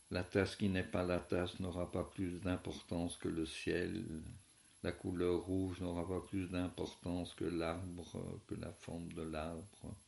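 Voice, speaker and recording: A man with a very deep, low voice speaks very slowly in a flat monotone, with audible room echo. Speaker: philosophy teacher. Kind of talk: lecture. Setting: at home. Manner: soft-spoken.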